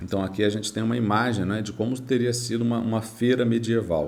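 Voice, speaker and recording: A man's medium-pitched voice with fairly even intonation, moderate pace, and audible room echo. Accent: Brazilian. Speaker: history teacher. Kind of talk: lecture.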